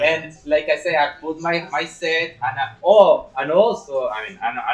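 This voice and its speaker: A man speaks with a strong Chilean accent. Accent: heavy Chilean Spanish accent in English. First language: Spanish. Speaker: stand-up comedian. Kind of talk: casual chat. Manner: halting.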